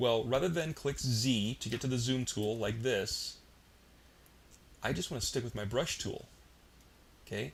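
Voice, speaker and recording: A man with a somewhat breathy, medium-pitched voice speaks at a moderate pace with ordinary pitch variation, leaving long, frequent pauses. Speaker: software tutorial instructor. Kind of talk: tutorial. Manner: casual, filler-heavy.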